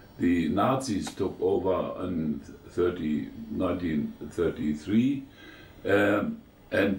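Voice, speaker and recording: A man speaks with audible room echo. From eastern Germany. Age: 90s. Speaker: war veteran. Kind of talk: interview. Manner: halting, many fillers.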